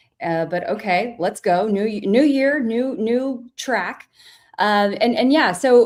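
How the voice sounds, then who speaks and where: A woman with a Texas accent speaks at a very slow pace, with ordinary pitch variation. The recording is very clean, with a silent background. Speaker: YouTube commentator guest. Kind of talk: livestream discussion.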